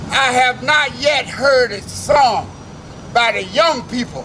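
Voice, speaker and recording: Over noticeable background noise, a man with an extremely high pitch talks in a raised, projected voice at a very slow pace, with long, frequent pauses, ordinary pitch variation and big swings in loudness. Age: 70s. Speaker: civil rights veteran. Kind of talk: protest speech. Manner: rousing.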